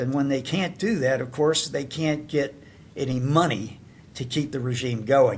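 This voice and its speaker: A man with a Southern US accent speaks at a medium pitch. His pitch varies in an ordinary way. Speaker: podcast host and pollster. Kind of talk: casual chat. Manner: halting, many fillers.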